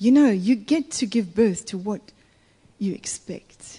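A woman's somewhat breathy, dark, mellow voice at medium pitch, with lively intonation and a fairly slow pace. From Italy. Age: 50s. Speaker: guest preacher. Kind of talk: sermon.

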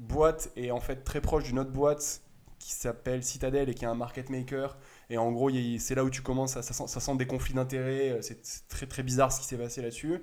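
A man talks in a medium-pitched voice, his intonation flat and monotone, at a moderate pace. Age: 20s. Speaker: retail stock investor. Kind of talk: casual explanatory chat. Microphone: sound problems in first 20 minutes.

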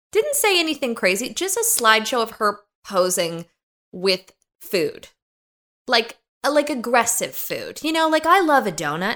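A high-pitched woman with a bright, sharp tone and very wide pitch swings, at a moderate pace with long, frequent pauses, on a very clean recording with a silent background. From US, suburbs of Los Angeles. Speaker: podcast host. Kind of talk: casual chat. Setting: in person with host.

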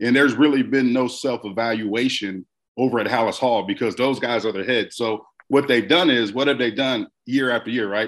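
A man with a normal speaking voice talks at a fairly quick pace, medium in pitch with fairly even intonation, against a quiet background. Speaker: former football player, podcast host. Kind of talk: radio interview, casual sports talk.

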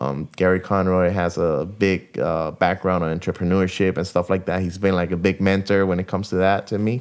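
A man with a very deep, low pitch and a Spanish accent, flat monotone delivery at a fairly quick pace with hardly any pauses, on a very clean recording with a silent background. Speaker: guitarist. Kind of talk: casual interview chat. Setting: in an apartment. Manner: talkative.

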